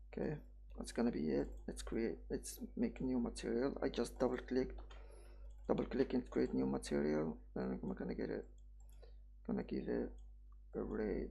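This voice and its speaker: A moderate pace in a non-native accent, broken by long, frequent pauses. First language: not English. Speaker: 3D software tutorial creator. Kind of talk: tutorial. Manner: halting, self-correcting; casual.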